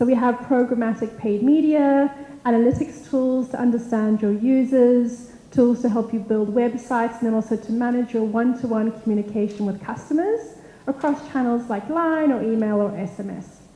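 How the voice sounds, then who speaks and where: A woman with a high pitch talks at a moderate pace with ordinary pitch variation over noticeable background noise. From South Africa, Cape Town. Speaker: technology evangelist. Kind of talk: conference talk.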